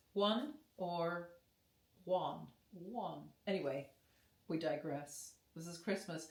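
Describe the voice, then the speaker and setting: At a very slow pace with long, frequent pauses, a woman speaks at a fairly low pitch with ordinary pitch variation and big swings in loudness, amid audible room echo. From British Columbia, Canada. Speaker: singer. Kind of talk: casual chat. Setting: friend's home, filmed on camera. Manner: animated.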